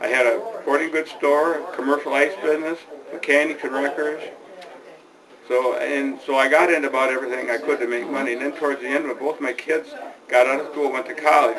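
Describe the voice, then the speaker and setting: Over noticeable background noise, a man with a fairly high voice talks very fast with fairly even intonation. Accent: American. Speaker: retired small-business owner and village council member. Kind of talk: oral history interview. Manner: halting, with repeated words.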